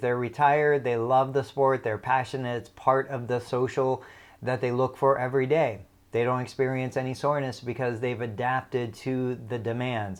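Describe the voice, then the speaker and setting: A man of medium pitch speaks in an ordinary speaking voice over a quiet background. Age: 40s. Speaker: physical therapist. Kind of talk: educational talk.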